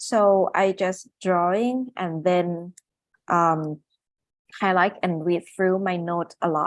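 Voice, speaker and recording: At a fairly slow pace, a woman with a non-native accent speaks at medium pitch against a quiet background. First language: not English. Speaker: neurosurgeon and medical illustrator. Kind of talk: webinar presentation. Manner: halting, many fillers.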